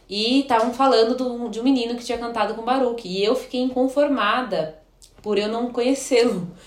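A woman talks at a fairly quick pace in a high voice with fairly even intonation. Room echo is audible, and there's noticeable background noise. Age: 20s. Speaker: biology teacher and pastor's wife. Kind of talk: casual chat. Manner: halting.

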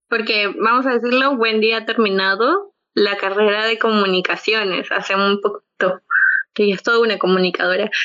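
With a Peruvian accent, a woman talks at a moderate pace in a fairly high pitch, keeping her intonation fairly even. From Peru, Lima. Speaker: podcast co-host. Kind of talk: casual chat.

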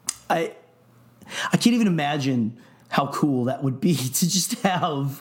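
A man's pitch swings very widely. Noticeable background noise runs underneath. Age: 30s. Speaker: podcast co-host. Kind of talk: casual chat. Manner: animated.

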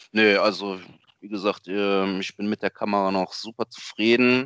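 A plain, everyday voice from a man, fairly low in pitch and fairly slow in pace, in a dry, close sound with no echo. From Germany, Lower Rhine region. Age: 30s. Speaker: amateur photographer. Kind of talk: casual interview.

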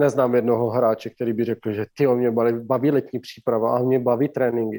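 A man's dark, mellow voice with a slight Slovak accent, medium pitch and a moderate pace, in a dry, close sound with no echo. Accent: barely noticeable Slovak accent in Czech. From Slovakia. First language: Slovak (speaking Czech). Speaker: former ice hockey player, player agent. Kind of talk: interview.

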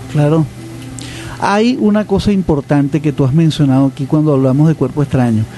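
A man talks fairly quickly at a fairly high pitch, with ordinary pitch variation. His loudness stays very even over noticeable background noise. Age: 60s. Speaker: radio host and pediatrician. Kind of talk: radio interview.

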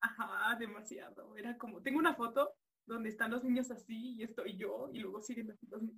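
A woman talks in a Mexican accent at a fairly high pitch. Her tone is bright and sharp, with ordinary pitch variation. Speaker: student. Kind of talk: casual chat. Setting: video call.

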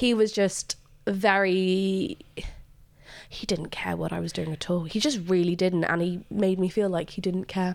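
In a very clean recording with a silent background, a woman with an English accent speaks at a fairly slow pace and medium pitch with ordinary pitch variation. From England. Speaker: student radio interviewer. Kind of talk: casual interview chat.

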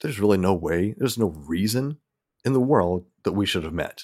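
In a Southern US accent, the speaker keeps a moderate pace with ordinary pitch variation. The recording is very clean, with a silent background. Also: man. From US South. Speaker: podcaster. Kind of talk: casual chat.

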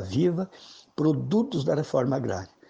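Somewhat breathy and dark, mellow in tone, this man's voice sits at a medium pitch. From Brazil, western Santa Catarina (Xanxerê). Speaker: rural social movement leader. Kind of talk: radio interview. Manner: hesitant, repeats words.

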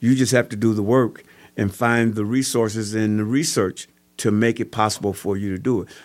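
A man's fairly low-pitched, plain, everyday voice, fairly even in intonation at a fairly quick pace, on a very clean recording with a silent background. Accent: American. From Kenosha, Wisconsin (US Midwest). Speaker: youth basketball coach and former prisoner. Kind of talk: testimony.

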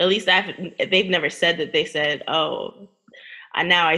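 A woman with an ordinary speaking voice talks at a moderate pace, her fairly low pitch held in fairly even intonation. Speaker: podcast co-host.

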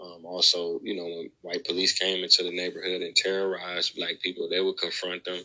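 A man at a fairly quick pace, with hardly any pauses and big swings in loudness. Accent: American. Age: 30s. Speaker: author and historian. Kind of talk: podcast interview.

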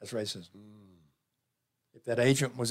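A man with a Southern US accent talks fairly quickly in a medium pitch. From US South. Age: 70s. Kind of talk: casual interview chat.

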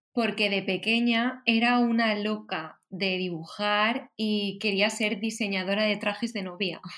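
Heard on a very clean recording with a silent background, a woman with a Valencian accent talks at a fairly slow pace. Her pitch is medium, and her intonation is fairly even. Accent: Valencian Spanish (Spain). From Valencia, Spain. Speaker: illustrator and designer. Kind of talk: casual chat.

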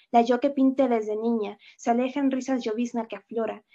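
A woman with a Mexican accent speaks at a moderate pace. Her fairly high voice stays monotone, with flat intonation. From Mexico. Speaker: poet and writer, teacher. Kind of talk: interview answers, with a poem reading. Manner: reflective, with frequent filler words.

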